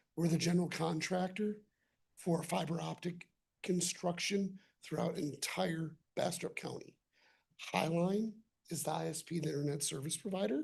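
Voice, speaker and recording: A woman speaks at a fairly low pitch with vocal fry and fairly even intonation. She leaves long, frequent pauses. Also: moderate pace. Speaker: utility contractor representative. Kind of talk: public presentation. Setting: city council meeting.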